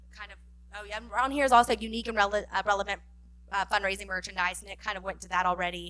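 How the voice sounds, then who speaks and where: Talking at a very fast pace, a woman has a bright, sharp tone with vocal fry. Her intonation is fairly even. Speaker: fundraising director presenting a workshop. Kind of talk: conference workshop presentation.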